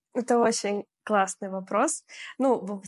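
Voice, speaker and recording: In a dry, close sound with no echo and a quiet background, a woman speaks at a very slow pace with lively intonation. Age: 20s. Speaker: blogger. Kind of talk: casual chat.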